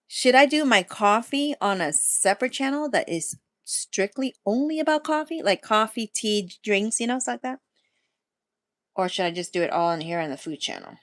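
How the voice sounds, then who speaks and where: A woman speaks at a moderate pace with fairly high pitch and very wide pitch swings. The background is quiet and the sound dry and close, with no echo. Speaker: food and lifestyle channel host. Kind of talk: casual livestream chat.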